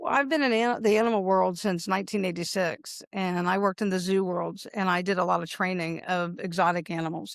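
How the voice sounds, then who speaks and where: An ordinary speaking voice from a woman at medium pitch, fairly quick pace with hardly any pauses, ordinary pitch variation, on a very clean recording with a silent background. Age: 60s. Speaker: pest control business owner and dog trainer. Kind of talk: interview. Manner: casual, conversational.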